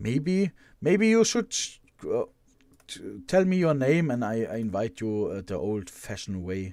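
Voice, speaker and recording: A man with a German accent speaks at medium pitch and a fairly slow pace, his dark, mellow tone moving through very wide pitch swings on a very clean recording with a silent background. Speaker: live streamer building Lego models. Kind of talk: casual live stream chat. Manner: halting, many repetitions.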